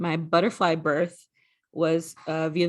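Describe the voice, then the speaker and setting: A woman speaks with a slight New York accent. Her intonation stays fairly even. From New York (Brooklyn). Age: 30s. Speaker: sorority regional director. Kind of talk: recorded presentation.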